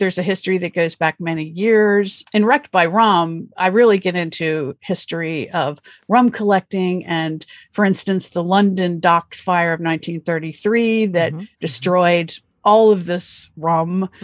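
In an American accent, the speaker uses an ordinary speaking voice at a fairly slow pace with ordinary pitch variation. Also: woman, fairly low pitch for a woman. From US Northeast, Pennsylvania. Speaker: author. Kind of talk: interview.

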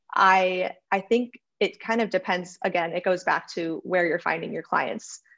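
In an American accent, a woman uses a plain, everyday voice at a medium pitch. Her pace is moderate and her intonation fairly even. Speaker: freelancer. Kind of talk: casual interview.

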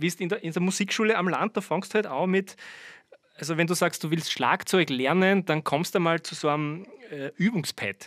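A man's high voice in a Styrian accent at a moderate pace, dry and close with no echo. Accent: Styrian Austrian German. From Austria, Styria (Birkfeld). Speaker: drummer. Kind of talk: casual interview. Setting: remote call from parents' ranch.

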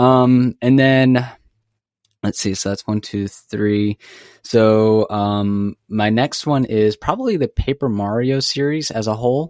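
Very slow speech from a man of medium pitch, dry and close with no echo, in a very clean recording with a silent background. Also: ordinary pitch variation. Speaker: new co-host, gamer. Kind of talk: casual chat.

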